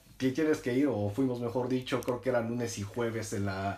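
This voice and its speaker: This man has a plain, everyday voice, pitched at a medium level with fairly even intonation. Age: 20s. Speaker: podcast co-host. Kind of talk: casual chat.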